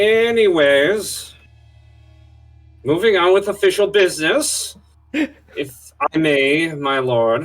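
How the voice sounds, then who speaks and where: A man's put-on character voice, high-pitched with very wide pitch swings, very slow with long, frequent pauses, over faint background music. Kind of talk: formal, courtly.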